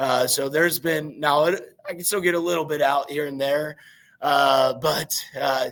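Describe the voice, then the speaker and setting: With a Midwestern American accent, a man talks at a fairly high pitch and a moderate pace. His intonation stays fairly even. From southeastern Indiana. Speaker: high school football coach. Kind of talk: interview. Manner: halting, many fillers.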